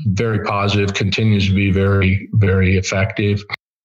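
A man's fairly low voice against noticeable background noise. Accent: American. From Illinois, US Midwest. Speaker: school board member. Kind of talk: interview. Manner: hesitant with fillers and repeats.

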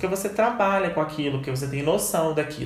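Fairly high-pitched male speech with audible room echo and noticeable noise behind it. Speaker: marketing lecturer. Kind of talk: lecture.

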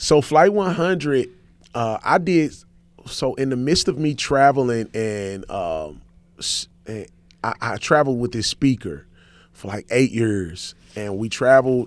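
A man with an American accent, very wide pitch swings, big swings in loudness, a fairly slow pace and long, frequent pauses, in a very clean recording with a silent background. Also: medium pitch for a man. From St. Louis, Missouri (west side inner city). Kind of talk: radio interview.

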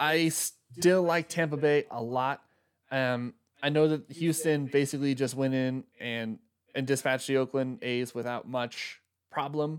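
A man with an ordinary speaking voice and a fairly high pitch speaks at a fairly slow pace with fairly even intonation, recorded very cleanly against a silent background. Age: 30s. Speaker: sports podcast host. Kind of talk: casual chat. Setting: live stream on laptop.

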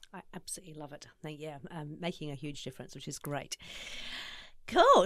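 In a New Zealand accent, a woman speaks at a fairly quick pace. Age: 50s. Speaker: podcast host. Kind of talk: podcast interview.

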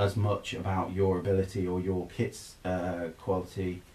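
Somewhat breathy, a man with a very deep, low pitch talks at a fairly slow pace. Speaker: brewer. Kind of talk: casual chat. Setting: sharing one microphone.

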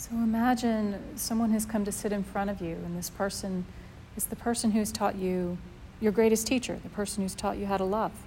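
Somewhat breathy, a woman of medium pitch speaks at a fairly quick pace in a calm, gentle, dark and mellow tone with monotone, flat intonation. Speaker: meditation teacher. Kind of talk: guided meditation. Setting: live class, group. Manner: calm, gentle, with long pauses.

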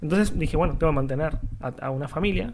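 A man talks at a very fast pace with a Rioplatense accent. His pitch varies in an ordinary way. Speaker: podcast co-host. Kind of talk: casual chat.

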